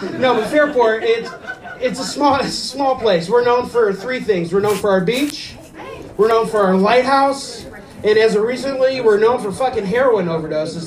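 A high-pitched man's voice with ordinary pitch variation over noticeable background noise. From US Midwest (Ohio). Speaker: stand-up comedian. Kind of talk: stand-up. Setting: stage with audience.

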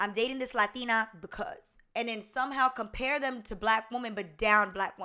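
Bright and sharp in tone, a woman with an American accent speaks at a fairly high pitch and a fairly quick pace. Her pitch variation is ordinary, and the recording is very clean with a silent background. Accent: Southern US with slight Spanish tinge. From US South. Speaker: YouTuber. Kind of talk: casual chat.

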